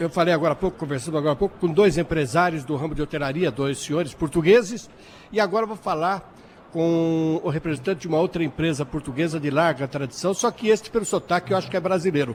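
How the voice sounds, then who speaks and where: The man's pitch is high. He talks at a very fast pace. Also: ordinary pitch variation. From Brazil. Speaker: radio host. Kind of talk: radio interview. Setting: trade fair.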